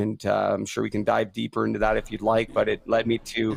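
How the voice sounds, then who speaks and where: A man speaks with a Canadian accent at a fairly quick pace. His pitch sits in the medium range. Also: very clean recording, silent background. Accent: Canadian, by own remark. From western Canada, near Vancouver. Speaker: former pro hockey player, podcast host. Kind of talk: testimony.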